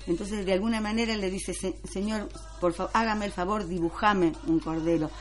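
The speech moves at a fairly quick pace with ordinary pitch variation, against noticeable background noise. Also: woman, medium pitch for a woman. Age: 60s. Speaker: French teacher. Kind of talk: radio interview.

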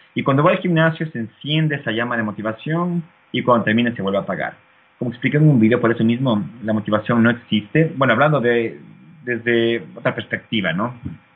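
This man has an unremarkable speaking voice at medium pitch. He talks at a fairly quick pace with lively intonation. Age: 30s. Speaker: fitness YouTuber. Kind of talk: interview.

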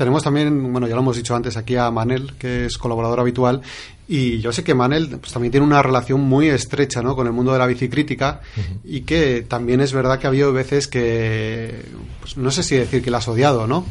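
A man with an ordinary speaking voice, medium pitch and a fairly quick pace. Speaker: radio host. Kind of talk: casual chat. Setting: studio.

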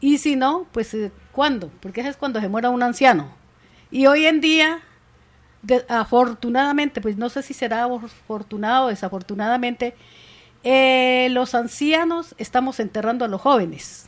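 High-pitched, this woman talks at a moderate pace, her pitch varying in an ordinary way. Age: 60s. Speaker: community leader. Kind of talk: radio interview. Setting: radio studio.

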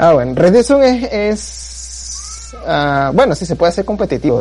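A man speaks against noticeable background noise. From Venezuela. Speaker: blogger and forum member interviewed. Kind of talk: casual chat. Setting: online voice call.

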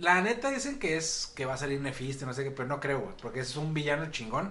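There is audible room echo along with noticeable background noise. A man talks at a fairly quick pace, his pitch swinging very widely. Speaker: podcast co-host. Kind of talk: casual chat.

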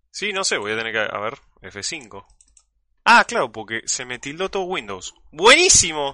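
A man with a Rioplatense accent, a fairly high pitch, very wide pitch swings and a bright, sharp tone, at a fairly slow pace over a quiet background. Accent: Argentine Spanish (rioplatense). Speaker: podcast host and streamer. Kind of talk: casual live-stream chat. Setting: call.

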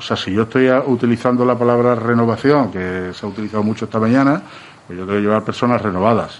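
Noticeable background noise sits behind a man whose medium pitch shows ordinary variation. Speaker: candidate for brotherhood council president. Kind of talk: radio interview.

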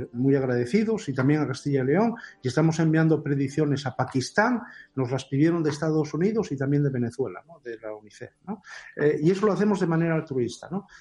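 A man at a very fast pace, fairly high-pitched for a man, with a dark, mellow tone, somewhat breathy, lively intonation and big swings in loudness. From Asturias, Spain. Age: 50s. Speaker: mathematics professor. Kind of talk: interview.

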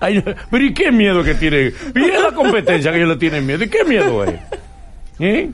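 Noticeable background noise and audible room echo surround the man's speech. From Dominican Republic. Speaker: radio host. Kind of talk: interview. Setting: studio.

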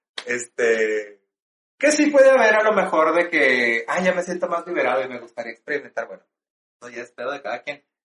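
Using an unremarkable speaking voice, a man talks at a moderate pace with a fairly high pitch, lively intonation and big swings in loudness. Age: 40s. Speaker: drag performer and stage actor. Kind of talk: casual interview chat.

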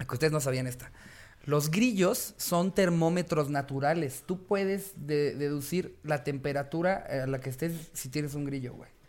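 A man at a fairly slow pace, an unremarkable speaking voice with ordinary pitch variation and big swings in loudness. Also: fairly high pitch for a man. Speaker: comedy podcast host. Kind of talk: casual chat.

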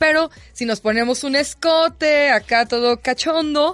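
A woman speaks with ordinary pitch variation. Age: 30s. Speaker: sexologist co-host. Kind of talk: radio talk show discussion.

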